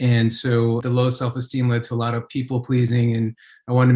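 Speaking very fast in a flat, monotone intonation, a man with an American accent keeps to a medium pitch. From New York. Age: 40s. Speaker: addiction interventionist. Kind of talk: interview.

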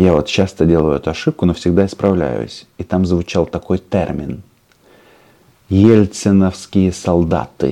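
A man with a very deep, low pitch and a dark, mellow tone speaks at a fairly slow pace with ordinary pitch variation and long, frequent pauses. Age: 40s. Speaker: political YouTube commentator. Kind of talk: political commentary monologue.

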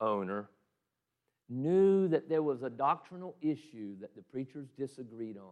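The speaker uses a Southern US accent, and the pitch swings very widely. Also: man. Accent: Southern US (Georgia). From US South, Southeast Georgia. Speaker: pastor. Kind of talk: sermon.

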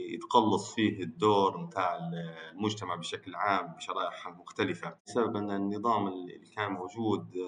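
With a Tripoli Libyan accent, a man speaks at a fairly slow pace. His voice is fairly low in pitch, with a bright, sharp tone. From Libya, Tripoli. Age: 20s. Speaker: architect, youth participant. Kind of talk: conversational dialogue. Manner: hesitant, many fillers.

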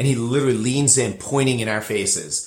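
Ordinary pitch variation shapes this man's somewhat breathy voice. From New Jersey, near New York. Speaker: bartender. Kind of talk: casual interview. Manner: halting, repeats words.

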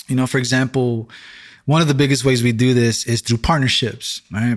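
On a very clean recording with a silent background, a man with a New York accent speaks at medium pitch with fairly even intonation. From Brooklyn, New York City. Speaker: church-planting pastor. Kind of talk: interview testimony.

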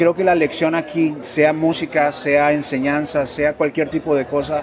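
Fairly slow speech with music in the background. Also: man. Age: 40s. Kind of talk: interview. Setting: event expo.

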